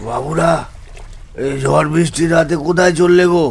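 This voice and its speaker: A raspy, hoarse put-on character voice at a fairly slow pace, with light background noise. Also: man, fairly high pitch for a man. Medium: cartoon. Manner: ominous, warning.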